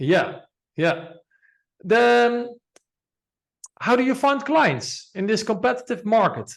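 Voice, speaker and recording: With long, frequent pauses, a man talks at a very slow pace in a high-pitched voice. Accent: non-native. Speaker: podcast host. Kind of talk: interview. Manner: halting.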